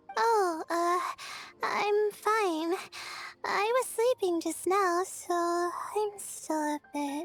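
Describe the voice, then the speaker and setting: Over faint music in the background, a woman uses a put-on character voice, extremely high in pitch and very slow. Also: lively intonation. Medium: video game. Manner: nervous, stammering.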